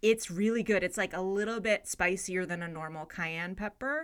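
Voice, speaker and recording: Speaking with a Californian accent, a woman has a bright, sharp tone at a medium pitch with ordinary pitch variation. The recording is very clean, with a silent background. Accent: Californian American. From US West Coast, San Francisco Bay Area. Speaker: comedian and podcaster. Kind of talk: casual chat.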